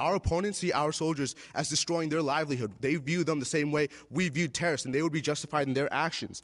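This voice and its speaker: Over a quiet background, a man speaks at a very fast pace. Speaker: debater. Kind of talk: debate rebuttal speech. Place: stage. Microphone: podium.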